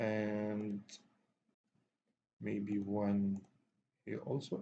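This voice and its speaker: Speaking at a very slow pace, a man with a non-native accent has a dark, mellow tone and a fairly low pitch. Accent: non-native accent, self-described. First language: not English. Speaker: software tutorial instructor. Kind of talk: tutorial. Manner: halting, many fillers.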